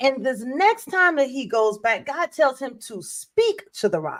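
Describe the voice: Fairly slow speech from a woman with big pitch swings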